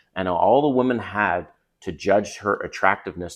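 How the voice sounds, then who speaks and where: A fairly slow pace with a slight Canadian accent. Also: man, very clean recording, silent background. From Canada. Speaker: dating coach youtuber. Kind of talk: casual advice vlog. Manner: conversational.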